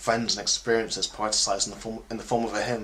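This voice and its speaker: Noticeable background noise behind a man's medium-pitched, fairly quick speech. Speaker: spoken word poet. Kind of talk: spoken word poetry performance.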